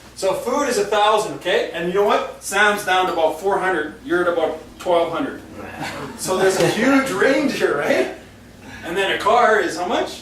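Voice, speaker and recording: An animated voice moves at a moderate pace over noticeable background noise. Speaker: financial presenter. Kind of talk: small group presentation. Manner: loud.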